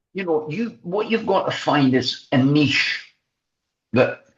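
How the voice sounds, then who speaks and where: A somewhat breathy man at a fairly slow pace, with very wide pitch swings. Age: 70s. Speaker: former journalist and broadcaster, boxing coach. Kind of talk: interview. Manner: halting, many repeated words.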